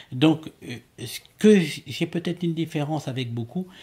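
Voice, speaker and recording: A man's somewhat breathy voice, dark and mellow in tone, fairly high-pitched, with ordinary pitch variation at a fairly slow pace. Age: 70s. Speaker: amateur astronomer and ufologist. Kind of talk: interview. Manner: halting, many repetitions and hesitations.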